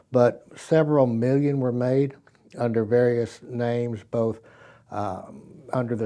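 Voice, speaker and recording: Dark and mellow in tone, a man speaks with fairly even intonation at a fairly slow pace over a quiet background. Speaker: presenter. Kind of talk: tutorial. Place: studio.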